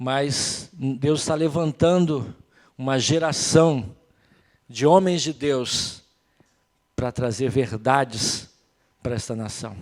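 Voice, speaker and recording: His pace is very slow, with long, frequent pauses. The man speaks at a medium pitch with ordinary pitch variation. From Brazil. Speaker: pastor. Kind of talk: sermon. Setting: church.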